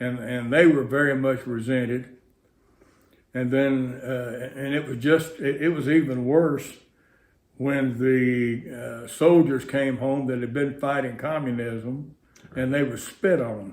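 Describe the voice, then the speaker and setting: Audible room echo surrounds a man who speaks at a medium pitch and fairly slow pace with fairly even intonation. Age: 80s+. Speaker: interviewee. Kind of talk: interview testimony.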